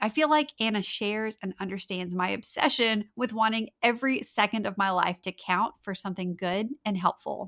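A woman with a slight Southern US accent, fairly high-pitched, at a moderate pace, dry and close with no echo, on a very clean recording with a silent background. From North Louisiana. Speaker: time management coach, podcast host. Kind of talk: solo podcast episode, conversational advice.

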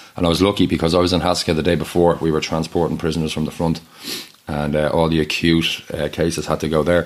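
A man with a Dublin accent talks very fast in a very deep, low pitch and a monotone, flat intonation. Noticeable background noise runs underneath. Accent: Irish, Dublin. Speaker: charity co-founder and aid worker. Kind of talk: casual interview chat.

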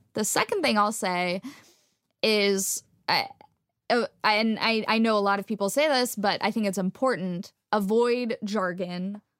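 A woman with a normal speaking voice talks at a fairly slow pace in an American accent. Her fairly high pitch has fairly even intonation, recorded with a dry, close sound with no echo. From Texas. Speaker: astrophysics PhD student and science communicator. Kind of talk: interview conversation.

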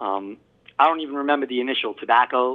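This man talks very fast at a medium pitch, and his pitch varies in an ordinary way. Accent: Long Island. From Long Island, New York. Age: 40s. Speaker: pipe maker. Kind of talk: interview. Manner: halting, many fillers.

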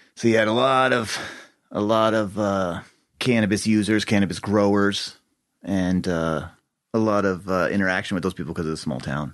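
A man with an American accent at a fairly quick pace and fairly low pitch, with ordinary pitch variation and long, frequent pauses. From Colorado, Boulder County. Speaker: cannabis grower and dispensary owner. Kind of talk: casual chat.

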